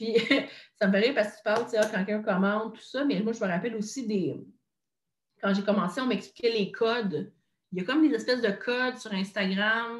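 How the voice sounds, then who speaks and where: A woman speaks at a fairly quick pace with a Quebec accent, somewhat breathy and fairly high in pitch. Her pitch varies in an ordinary way, and she takes long, frequent pauses. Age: 20s. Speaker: content creator and podcaster. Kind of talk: casual interview chat.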